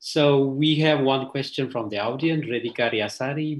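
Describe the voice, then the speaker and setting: With an Indonesian accent, a man speaks at a moderate pace in a somewhat breathy voice. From Aceh, Indonesia. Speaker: panel moderator. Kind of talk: panel discussion. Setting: video call. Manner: halting.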